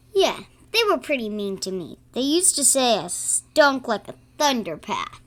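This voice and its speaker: A female-sounding voice uses a put-on character voice. It is high-pitched and moves at a moderate pace. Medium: audio drama. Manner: warm, gentle.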